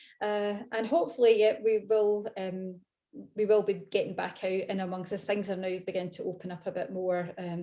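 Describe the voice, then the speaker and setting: With a Scottish accent, a woman speaks at medium pitch in a dark, mellow tone and at a fairly quick pace. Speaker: event host, interviewer. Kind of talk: live online author interview. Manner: fast and loud when excited; hesitant, many fillers.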